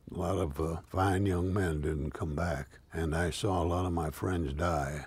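The voice is somewhat breathy and very slow, with a dry sound and no echo. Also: man. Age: 90s. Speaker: war veteran. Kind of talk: interview testimony. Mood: reflective, solemn. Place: garden.

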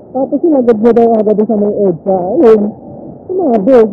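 At a fairly slow pace, the voice comes through dry with no echo over light background noise. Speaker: motovlogger rider. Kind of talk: casual vlog chat. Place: motorbike. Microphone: helmet.

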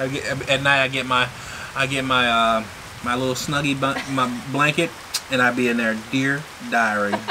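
A man in a monotone, flat intonation at a moderate pace, with noticeable background noise. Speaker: farmer and vlogger; vlogger. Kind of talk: casual chat. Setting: outdoors on a balcony. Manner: hesitant, many fillers. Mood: relaxed, joking. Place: home room. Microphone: camera far.

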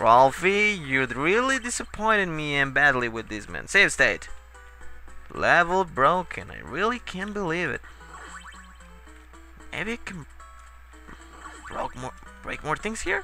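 With music in the background, a man uses a raised, projected voice at a very slow pace, with very wide pitch swings, big swings in loudness, and long, frequent pauses. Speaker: video game let's player. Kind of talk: gameplay commentary. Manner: casual, profane, tipsy.

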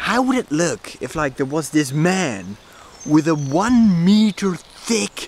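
Light background noise sits under a man whose pitch swings very widely, the sound dry with no echo. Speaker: vlogger. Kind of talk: casual vlog chat. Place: garden. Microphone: phone near.

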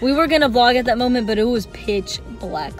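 A woman speaks with ordinary pitch variation. Faint music plays in the background, and the sound is dry with no echo. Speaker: vlogger. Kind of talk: casual vlog chat. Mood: relaxed, amused storytelling. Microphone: phone near.

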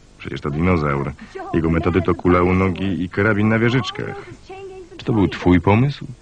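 A man talks at a moderate pace in a very deep, low pitch, with lively intonation. The sound is dry with no echo, and background noise is noticeable. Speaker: film voice-over reader. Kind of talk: film voice-over translation read. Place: booth. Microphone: studio mic.

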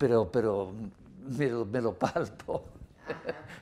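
A man's dark, mellow tone with lively intonation at a very slow pace. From US Northeast, Rhode Island. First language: English (speaking Spanish). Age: 80s+. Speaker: anthropologist and author; interviewee. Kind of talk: interview. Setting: office. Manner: halting, many repetitions. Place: office. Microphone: lapel.

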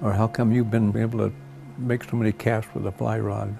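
Over music in the background, a man with an American accent speaks at a moderate pace and fairly low pitch. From United States. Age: 80s+. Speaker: World War II veteran, fly fisherman. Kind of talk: documentary interview answer. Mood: reflective, gentle, humble. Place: home room. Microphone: lapel.

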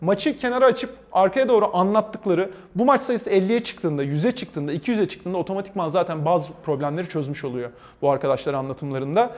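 A man's high-pitched voice at a very fast pace, full of very wide pitch swings. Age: 30s. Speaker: esports commentator; esports host, interview guest. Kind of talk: interview. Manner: halting. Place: hall. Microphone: lapel.

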